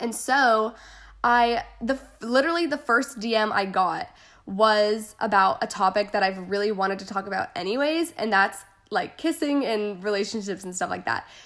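With an American accent, a woman talks at a moderate pace in a fairly high voice. Her tone is animated and her intonation lively. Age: 20s. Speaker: youtuber and podcast host. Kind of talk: casual monologue.

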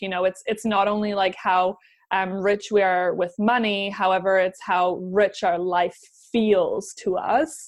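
A woman with a normal speaking voice talks fairly slowly at a medium pitch, her intonation fairly even against a quiet background. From Canada, German parents, moved around; New Zealand for 15 years. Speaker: business coach. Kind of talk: casual chat.

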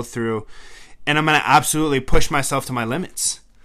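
A man speaks in an animated way. His tone is bright and sharp. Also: very clean recording, silent background. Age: 20s. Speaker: podcast host, sales professional and military veteran. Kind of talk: casual solo monologue.

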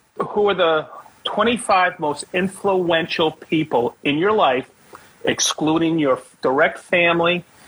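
The speech comes at a very slow pace with ordinary pitch variation and very even loudness. Noticeable background noise can be heard. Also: man, high pitch for a man. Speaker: podcast host. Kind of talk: casual interview chat.

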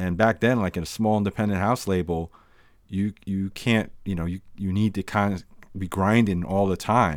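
A man with a normal speaking voice talks at a moderate pace, fairly low in pitch and fairly even in intonation. The recording is very clean, with a silent background. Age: 50s. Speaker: podcast host and DJ. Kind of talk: casual chat.

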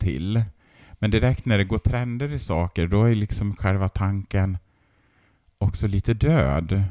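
On a very clean recording with a silent background, a man with a fairly low, dark, mellow voice talks at a very slow pace with lively intonation in a dry, close sound with no echo. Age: 40s. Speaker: textile teacher and artist. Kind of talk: interview.

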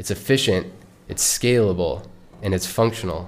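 A man with an ordinary speaking voice and a fairly low pitch talks at a moderate pace with ordinary pitch variation. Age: 20s. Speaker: podcast host, ex-Marine traveler. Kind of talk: solo podcast monologue. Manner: casual, conversational.

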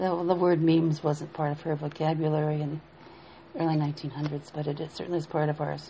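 A woman speaks with a very deep, low pitch and a somewhat breathy voice. Her fairly quick delivery is monotone and flat. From Appalachia. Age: 70s. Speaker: minister. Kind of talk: spiritual teaching talk. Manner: halting.

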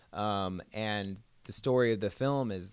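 With an American accent, a man talks in a fairly low voice with ordinary pitch variation. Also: very clean recording, silent background. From Southern California, Orange County. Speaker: musician. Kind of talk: casual interview chat.

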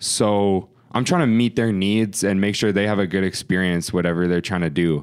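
In a western Canadian accent, a man with a fairly low pitch talks at a moderate pace with fairly even intonation and very even loudness, on a very clean recording with a silent background. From Okanagan Valley, British Columbia, Canada. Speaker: hip-hop artist and producer. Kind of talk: casual chat.

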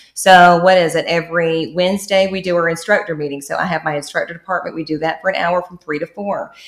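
A woman speaks at a very fast pace with hardly any pauses, in a fairly low pitch and fairly even intonation. Noticeable background noise runs behind her. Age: 30s. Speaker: esthetician and skincare entrepreneur. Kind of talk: casual chat.

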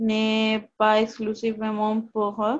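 A woman's voice with a fairly high pitch. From Canada, Toronto. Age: 20s. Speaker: film actress. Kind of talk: panel discussion.

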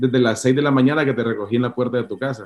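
A man speaks at medium pitch. His pace is fairly quick. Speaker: pastor. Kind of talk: interview. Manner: halting, many repetitions.

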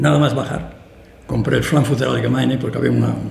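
A man's voice with very wide pitch swings at a fairly quick pace, with audible room echo and noticeable background noise. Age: old. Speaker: classical music concert promoter. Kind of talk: interview conversation. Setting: auditorium with live audience.

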